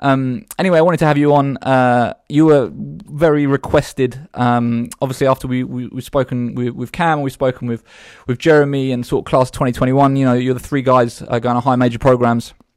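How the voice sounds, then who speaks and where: With a British accent, a man speaks at a medium pitch with fairly even intonation and hardly any pauses, in a very clean recording with a silent background. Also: moderate pace. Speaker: podcast host. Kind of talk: casual interview. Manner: informal, chatty.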